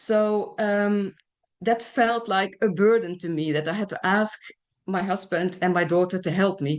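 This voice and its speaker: A woman with a plain, everyday voice speaks at medium pitch, a fairly slow pace and fairly even intonation against a quiet background. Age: 60s. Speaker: patient advocate, cancer survivor. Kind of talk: testimony.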